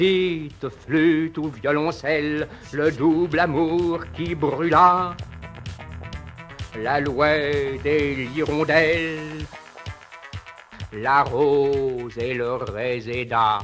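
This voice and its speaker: Over music in the background, a man with a fairly high pitch and ordinary pitch variation speaks at a very slow pace, leaving long, frequent pauses. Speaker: poet reading his own poem. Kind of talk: poetry reading. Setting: old archival recording, voice over music.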